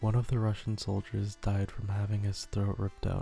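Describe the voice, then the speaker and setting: A soft-spoken man talks at a moderate pace and a fairly low pitch. His tone is dark and mellow, and somewhat breathy. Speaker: horror story narrator and ASMR YouTuber. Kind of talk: horror story reading.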